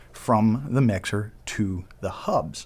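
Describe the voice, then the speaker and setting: A medium-pitched man's voice with ordinary pitch variation, in a very clean recording with a silent background. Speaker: audio gear retailer presenter. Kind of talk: product demo. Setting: in-office studio. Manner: casual, conversational; speaking louder than usual.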